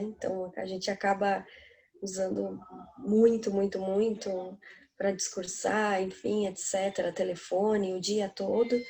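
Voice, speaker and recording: There is noticeable noise in the background. A woman talks at a fairly slow rate. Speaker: singer. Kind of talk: casual chat.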